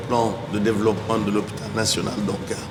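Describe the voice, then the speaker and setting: A man talks while noticeable background noise and audible room echo fill the space. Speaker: hospital director giving opening speech. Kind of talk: formal opening speech. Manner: formal.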